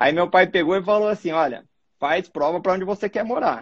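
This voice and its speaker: A man's high voice moves along at a fairly quick pace. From Mato Grosso, Brazil. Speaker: cardiologist. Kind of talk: casual interview. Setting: live video stream.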